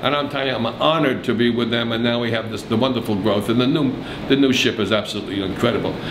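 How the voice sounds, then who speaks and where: Over noticeable background noise, a man talks at a very fast pace with fairly even intonation. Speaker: interviewee. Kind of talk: interview answer. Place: office.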